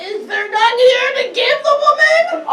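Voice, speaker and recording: Using a put-on character voice, a woman speaks at an extremely high pitch with lively intonation and a fairly slow pace. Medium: stage play.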